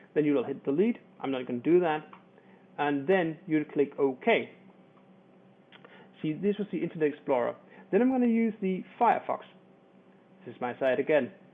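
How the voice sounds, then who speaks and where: A man's fairly high voice in a Danish accent, at a moderate pace with long, frequent pauses. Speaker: internet marketer. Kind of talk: tutorial. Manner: halting.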